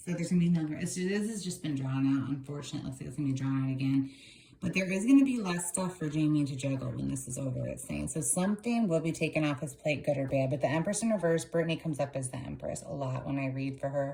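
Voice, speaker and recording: A woman's very deep, low voice, very fast and hardly pausing, animated in tone, with ordinary pitch variation. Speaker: tarot reader. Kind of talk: tarot reading video, casual commentary. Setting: home video recording, on camera.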